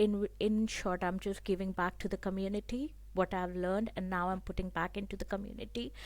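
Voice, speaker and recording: A woman with a non-native accent talks at a moderate pace and medium pitch. Her intonation is monotone and flat, and the recording is very clean with a silent background. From abroad, came from another country. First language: not English. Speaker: program graduate and women's employment support worker. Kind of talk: interview. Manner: halting, with fillers.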